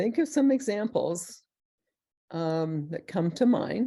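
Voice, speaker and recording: Very slow female speech in a dark, mellow tone with very wide pitch swings. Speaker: professor. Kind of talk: webinar lecture.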